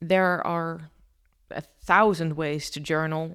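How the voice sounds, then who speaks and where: A woman with a non-native accent speaks on a very clean recording with a silent background. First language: not English. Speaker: podcast host. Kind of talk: casual solo podcast talk. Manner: stumbles over words often.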